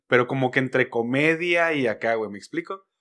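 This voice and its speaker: A man with a Mexican accent at a moderate pace, ordinary pitch variation, and a quiet background. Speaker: podcast host. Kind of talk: casual chat. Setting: studio. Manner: animated.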